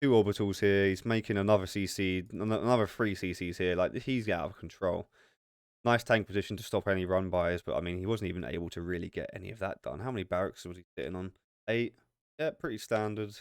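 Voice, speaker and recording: At a very fast pace, a man speaks with big swings in loudness and ordinary pitch variation. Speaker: esports caster. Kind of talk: live commentary; casual outro. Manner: animated.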